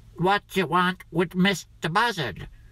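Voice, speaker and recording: A man puts on a character voice, pitched high. He speaks fairly slowly with ordinary pitch variation. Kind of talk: folk tale character voice. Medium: read story.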